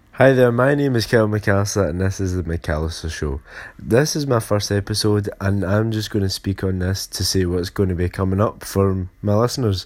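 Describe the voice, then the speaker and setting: This man speaks with a Glaswegian accent and a fairly low pitch. His pitch varies in an ordinary way, and he hardly pauses at all. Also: moderate pace. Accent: Glaswegian Scottish. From Scotland, Glasgow. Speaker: podcast host. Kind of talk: casual solo podcast intro. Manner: halting, many fillers.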